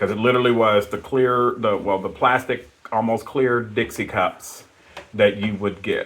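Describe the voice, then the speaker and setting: A man talks at a moderate pace and medium pitch with monotone, flat intonation. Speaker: podcast co-host. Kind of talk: casual chat. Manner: loud.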